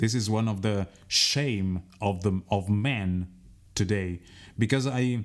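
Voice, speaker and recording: Speaking at a very slow pace with very even loudness, a man with an Italian accent uses fairly low pitch and ordinary pitch variation. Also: very clean recording, silent background. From Italy. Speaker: radio host. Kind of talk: radio interview.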